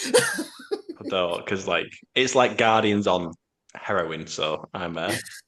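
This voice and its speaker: At a very slow pace, a man speaks in a British accent. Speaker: podcast host. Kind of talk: casual chat.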